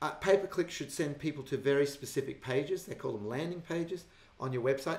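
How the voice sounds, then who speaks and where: A man with an Australian accent speaks at a fairly high pitch, his pitch varying in an ordinary way. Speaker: business marketing consultant hosting a webinar. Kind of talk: webinar presentation with Q&A. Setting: online webinar. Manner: fast.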